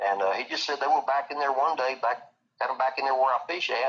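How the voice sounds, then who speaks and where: A man's bright, sharp tone with an East Texas accent at a fairly quick pace. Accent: East Texas Southern US. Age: 60s. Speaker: eyewitness interviewee. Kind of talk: casual interview storytelling. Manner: halting, repetitive.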